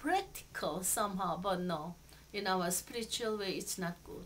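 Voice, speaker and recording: A woman with a Korean accent. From Seoul, South Korea. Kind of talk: interview answer.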